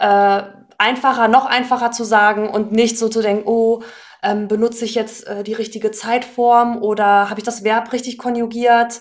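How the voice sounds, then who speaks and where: In an ordinary speaking voice, a woman talks at a moderate pace with a fairly high pitch and fairly even intonation. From northern Germany, Hannover. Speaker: German language teacher. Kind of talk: casual interview.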